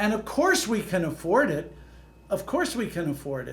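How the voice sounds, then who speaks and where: In a room with audible echo, a man talks at a moderate pace with a high pitch. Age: 70s. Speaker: economist and real estate professor. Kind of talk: interview. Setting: podcast.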